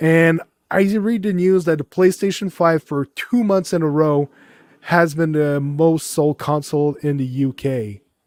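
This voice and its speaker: With a Quebec accent, a man speaks at a fairly slow pace with a fairly high pitch and ordinary pitch variation, in a very clean recording with a silent background and a dry, close sound with no echo. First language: French. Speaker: podcast co-host. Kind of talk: casual chat.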